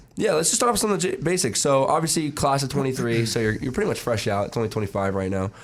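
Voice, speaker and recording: Over noticeable background noise, a man with a medium-pitched voice talks at a very fast pace with hardly any pauses and very wide pitch swings. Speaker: student radio co-host. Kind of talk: casual interview.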